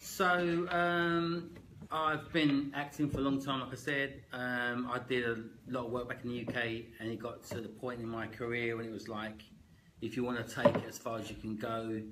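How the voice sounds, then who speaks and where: A man speaks with a strong Cockney accent at a medium pitch. His pitch varies in an ordinary way, and the room echo is audible. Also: moderate pace. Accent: strong East London Cockney. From East London, Canning Town. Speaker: actor and real estate agent. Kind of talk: casual interview.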